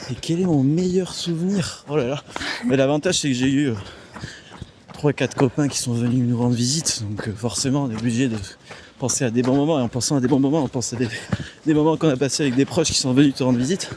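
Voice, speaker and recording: Over noticeable background noise, a man talks very fast at a medium pitch, yet stops for long, frequent pauses. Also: ordinary pitch variation. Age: 20s. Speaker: engineer. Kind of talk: casual chat. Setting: outdoors.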